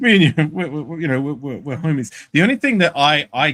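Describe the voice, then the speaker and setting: This is a man speaking with an Australian accent. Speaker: sports podcast panelist. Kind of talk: casual chat. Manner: halting.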